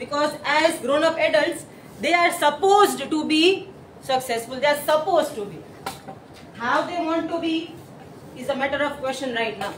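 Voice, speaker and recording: A woman speaks loudly at a high pitch and a moderate pace, with ordinary pitch variation and long, frequent pauses. Noticeable background noise and audible room echo fill the recording. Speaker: school teacher. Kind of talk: presentation to colleagues and judges.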